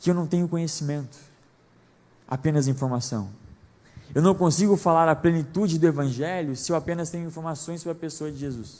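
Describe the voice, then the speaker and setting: The voice belongs to a man and sits high in pitch. It has a dark, mellow tone. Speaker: preacher. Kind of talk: sermon. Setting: church service. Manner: fast.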